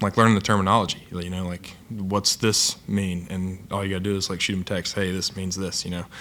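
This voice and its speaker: In an Appalachian accent, a man talks with monotone, flat intonation at a very deep, low pitch. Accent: Appalachian accent, noticeable. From southern Ohio, Appalachian area near Ironton. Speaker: college football player. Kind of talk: press conference interview. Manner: hesitant, many filler words.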